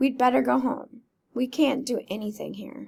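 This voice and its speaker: A raspy, put-on character voice at a moderate pace with fairly even intonation. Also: woman. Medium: read story. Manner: soft-spoken, gentle.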